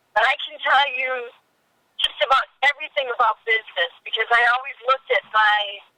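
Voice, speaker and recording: A woman projects her voice at a high pitch and a moderate pace, the sound dry and close with no echo. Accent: American. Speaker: casting director. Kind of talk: interview.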